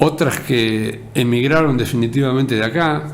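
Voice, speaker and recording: Very slow speech from a man, with ordinary pitch variation, noticeable background noise and audible room echo. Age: 60s. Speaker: local radio and TV host, journalist. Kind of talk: editorial monologue.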